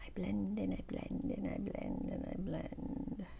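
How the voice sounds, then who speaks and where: A woman speaks in a calm tone against noticeable background noise. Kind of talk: casual talk to camera. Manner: soft-spoken, calm.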